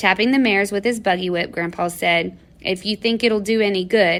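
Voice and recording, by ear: Natural-voiced reading aloud, pitch variation ordinary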